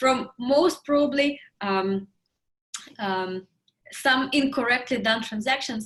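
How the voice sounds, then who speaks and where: With a Russian accent, a woman speaks in a high pitch with lively intonation. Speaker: interview host. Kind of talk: casual interview.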